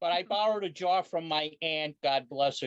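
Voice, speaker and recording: A man talks at a moderate pace in a normal speaking voice, with ordinary pitch variation and a dry, close sound that has no echo. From Italy, moved to US. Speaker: aquarium society leader, lawyer. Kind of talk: interview.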